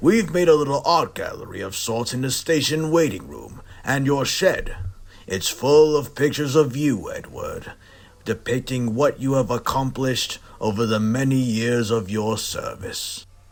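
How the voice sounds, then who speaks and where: A man puts on a character voice at a medium pitch. He keeps a moderate pace with ordinary pitch variation. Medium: audio drama. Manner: formal, warm.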